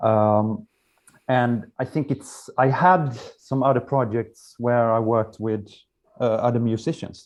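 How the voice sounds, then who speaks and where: In a Swedish accent, a man speaks at a medium pitch and a fairly slow pace. His intonation is fairly even. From Sweden. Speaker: musician. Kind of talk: interview. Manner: halting.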